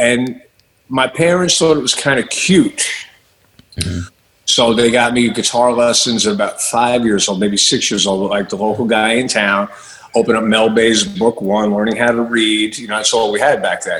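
With an American accent, a man speaks at a medium pitch and moderate pace with ordinary pitch variation in an unremarkable speaking voice. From Long Island, New York. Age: 50s. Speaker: rock guitarist and music director. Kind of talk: interview.

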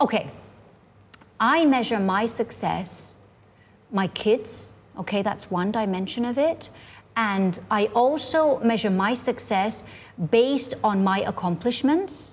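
A woman speaks at a very slow pace with a fairly high, somewhat breathy voice, lively intonation, and long, frequent pauses. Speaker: university lecturer. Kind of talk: casual interview chat.

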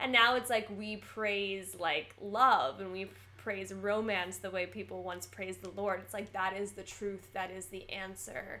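A woman with an American accent and a bright, sharp tone talks at medium pitch with fairly even intonation, big swings in loudness and hardly any pauses. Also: fairly slow pace. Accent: American, trained actor. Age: 20s. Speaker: podcast co-host, actor. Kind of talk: casual chat.

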